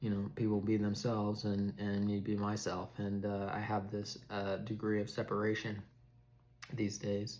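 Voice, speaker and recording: A man's fairly low voice, monotone and flat, at very even loudness, with audible room echo. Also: moderate pace. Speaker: mental health vlogger with schizophrenia. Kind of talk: personal talk to camera. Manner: halting, many fillers and repetitions.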